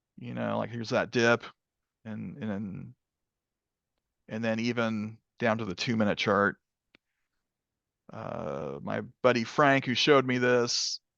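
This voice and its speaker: Lively intonation comes through at a fairly slow pace, broken by long, frequent pauses. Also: man, medium pitch for a man. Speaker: crypto trading educator. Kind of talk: video call trading tutorial. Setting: video call. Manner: sarcastic tone.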